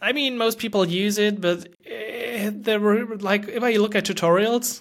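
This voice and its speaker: In a German accent, a man talks at a high pitch and a moderate pace. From Germany. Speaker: podcast host and developer. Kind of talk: casual interview conversation.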